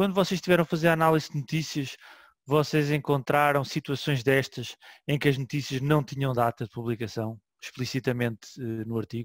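A man talks at a fairly quick pace with ordinary pitch variation. The sound is dry with no echo, and the background is quiet. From Portugal. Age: 40s. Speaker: web archive manager and session host; session host. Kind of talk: online seminar hosting. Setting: online session from home. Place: home room. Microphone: headset.

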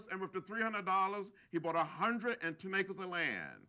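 The voice is raised and projected, with a bright, sharp tone. The background is quiet. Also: man. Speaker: guest. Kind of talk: speech with personal stories. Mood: folksy, warm, humorous. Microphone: lapel.

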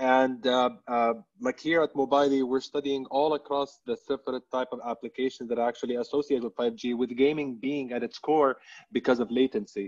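In an unremarkable speaking voice, a man with a medium pitch talks at a fairly quick pace with fairly even intonation over a quiet background. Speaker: telecom brand communications director; panelist. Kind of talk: webinar panel discussion. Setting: online webinar. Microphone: video call.

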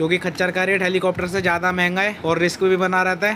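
Against clear background noise, a man talks at a fast pace in a high pitch with little pitch movement.

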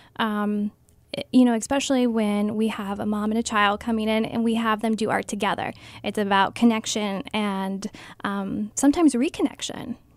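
A woman speaks at a moderate pace with a Midwestern American accent and fairly even intonation. The background is quiet, and the sound is dry with no echo. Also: fairly high pitch for a woman. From Ohio, Stark County; Ohio. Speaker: art therapist. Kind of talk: radio interview. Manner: hesitant, many ums. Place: studio.

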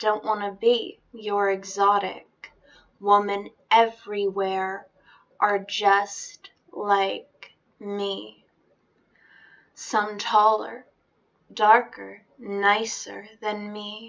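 A woman at a very slow pace, with long, frequent pauses and monotone, flat intonation, against a quiet background. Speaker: poetry reader. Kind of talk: spoken-word reading of a defiant feminist poem. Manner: rhythmic, emphatic spoken-word cadence with repeated refrains. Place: home room. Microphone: webcam.

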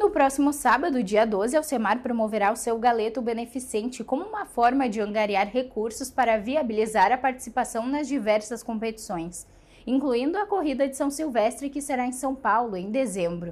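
A high-pitched woman's voice with ordinary pitch variation and hardly any pauses. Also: moderate pace. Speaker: news anchor. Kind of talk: newsreading. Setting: studio. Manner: formal, steady, even delivery. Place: studio. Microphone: lapel.

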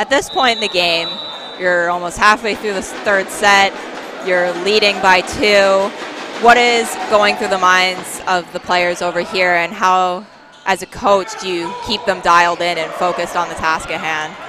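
Over clear background music, a woman with a medium-pitched voice talks fairly slowly in an energetic tone, the sound dry with no echo. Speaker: play-by-play commentator. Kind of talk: live sports play-by-play commentary. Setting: college gymnasium broadcast. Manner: brisk, energetic, clear. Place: hall.

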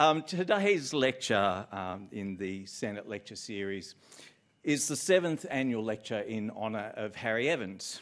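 Against a quiet background, a man with an ordinary speaking voice talks at a moderate pace, his pitch fairly low and his intonation lively. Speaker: host introducing a lecture. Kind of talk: formal welcome speech. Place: hall. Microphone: podium.

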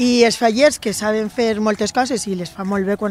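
The recording is dry, with no echo. A woman with a fairly high pitch speaks at a very slow pace with ordinary pitch variation. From Valencia, Xeresa; Valencia. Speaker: folk dance teacher. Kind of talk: interview. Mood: warm, slightly bashful. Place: street. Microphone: handheld.

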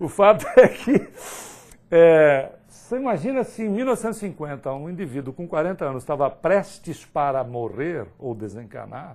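Fairly high in pitch, a man speaks at a fairly slow pace with an animated tone. His pitch swings very widely and his loudness shifts a lot. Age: 50s. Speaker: spiritist lecturer. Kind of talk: lecture. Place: hall.

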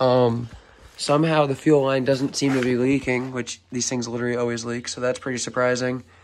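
A man's intonation stays monotone and flat as he talks at a moderate speed. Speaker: hobby mechanic vlogger. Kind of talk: casual tutorial commentary. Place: garage. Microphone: phone near.

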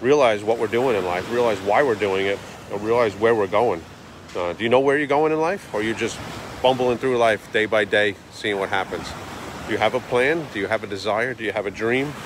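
A man speaks with ordinary pitch variation. The sound is dry with no echo, though background noise is noticeable. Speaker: daily vlogger. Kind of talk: motivational casual vlog talk. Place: beach. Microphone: phone near.

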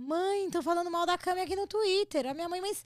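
A woman with a Brazilian accent speaks at an extremely high pitch and a fairly quick pace, with lively intonation and an animated tone. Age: 40s. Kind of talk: casual chat.

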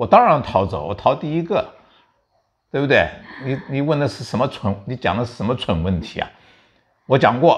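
A man's voice with vocal fry and very wide pitch swings, at a moderate pace with long, frequent pauses, over a quiet background. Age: 70s. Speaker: veteran journalist and commentator. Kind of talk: political commentary chat. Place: home room. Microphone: lapel.

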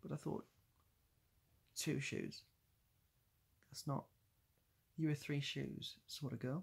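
The voice is somewhat breathy, its intonation fairly even. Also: man. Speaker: streamer or vlogger. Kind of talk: casual vlog chat. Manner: drowsy, slow, low-energy voice. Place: home room. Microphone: phone near.

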